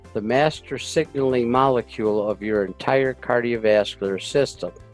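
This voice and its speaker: A man talks at a moderate pace while background music plays. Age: 80s. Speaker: war veteran, health product presenter. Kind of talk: health education presentation to camera.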